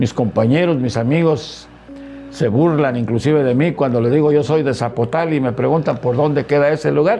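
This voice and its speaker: Music plays in the background as a man speaks in a fairly high voice with ordinary pitch variation and very even loudness. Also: moderate pace. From Mexico, Veracruz (near Poza Rica). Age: 60s. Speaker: retired teacher and politician. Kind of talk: interview. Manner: halting, many fillers.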